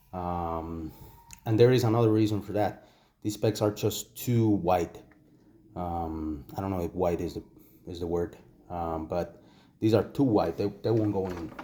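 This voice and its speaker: At a fairly slow pace and with long, frequent pauses, a man with a Spanish accent speaks at a very deep, low pitch with a dark, mellow tone and ordinary pitch variation on a very clean recording with a silent background. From Costa Rica. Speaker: toy collector reviewer. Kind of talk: product review tutorial. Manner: hesitant, many fillers and repetitions.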